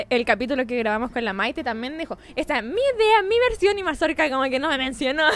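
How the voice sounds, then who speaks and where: Speaking at a very fast pace with hardly any pauses, a woman's high voice swings very widely in pitch over noticeable background noise. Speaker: podcast co-host. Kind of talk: casual chat. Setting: bar.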